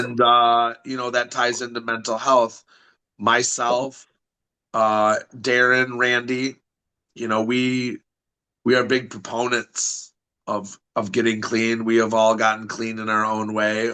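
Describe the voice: A bright, sharp voice with a Michigan accent, flat and monotone, at a very slow pace against a quiet background. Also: man, medium pitch for a man. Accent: Michigan, Midwestern.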